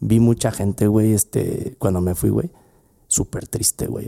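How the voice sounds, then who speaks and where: A man with a Mexican accent, fairly low in pitch, with a dark, mellow tone, ordinary pitch variation and a fairly slow pace, in a dry, close sound with no echo. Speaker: podcast host, lawyer and former law professor. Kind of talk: casual chat.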